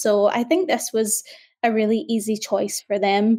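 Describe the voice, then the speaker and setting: A woman speaks in a Scottish accent at a moderate pace. Her voice is fairly high in pitch, with a dark, mellow tone. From Scotland, Glasgow. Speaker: journalist. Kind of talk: interview.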